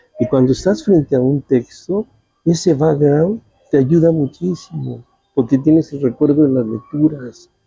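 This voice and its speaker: A man talks at a fairly slow pace in a fairly high pitch with ordinary pitch variation. The sound is dry and close with no echo, and music plays in the background. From Mexico City. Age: 70s. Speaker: journalist. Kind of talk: interview.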